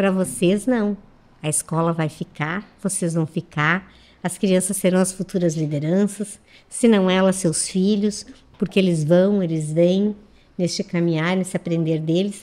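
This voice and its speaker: A woman's medium-pitched, dark, mellow voice at a fairly slow pace with fairly even intonation. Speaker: schoolteacher. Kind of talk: radio interview. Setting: radio studio.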